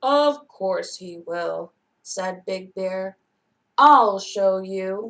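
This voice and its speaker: The delivery is very slow, done in a put-on character voice. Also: woman, medium pitch for a woman. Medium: read story.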